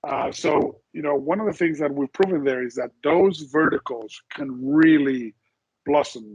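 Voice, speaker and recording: This man speaks fairly slowly in a Spanish accent, his pitch fairly high with ordinary variation. The recording is dry and close, with no echo. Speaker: insurance executive. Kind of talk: interview. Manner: hesitant, many repetitions and fillers.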